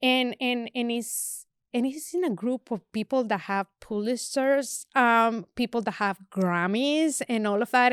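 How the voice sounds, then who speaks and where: In a very clean recording with a silent background, a woman with a Spanish accent talks at a fairly high pitch with ordinary pitch variation and hardly any pauses. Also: dry, close sound with no echo. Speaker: photographer. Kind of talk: casual chat. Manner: halting, repetitive fillers.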